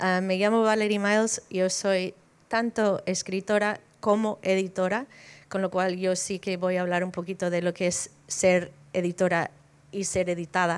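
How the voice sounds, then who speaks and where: At a fairly slow pace, a woman with an American accent speaks in a monotone with flat intonation. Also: medium pitch for a woman. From United States. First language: English (speaking Spanish). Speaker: editor and writer. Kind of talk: panel talk.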